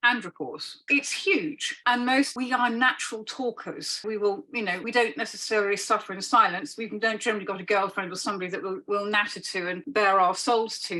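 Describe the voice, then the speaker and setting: Over noticeable background noise, a woman with a fairly high pitch talks at a fairly quick pace with hardly any pauses and ordinary pitch variation. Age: 60s. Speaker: holistic practitioner. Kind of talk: interview.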